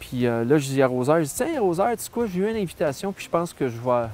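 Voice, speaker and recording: Pitch variation is ordinary as a man talks at a very fast pace. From Quebec, Saguenay–Lac-Saint-Jean (Arvida). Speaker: musician. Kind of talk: interview, casual storytelling. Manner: hesitant, many fillers.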